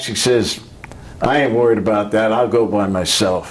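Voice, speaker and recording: This man talks at a fairly slow pace with a New York accent. Noticeable background noise runs under his voice. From Brooklyn, New York. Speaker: Navy veteran. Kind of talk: interview answer.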